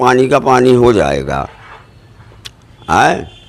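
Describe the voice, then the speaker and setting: Noticeable background noise is present throughout. The man's pitch sits at a medium level. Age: 60s. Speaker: local party worker making allegations. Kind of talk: news interview.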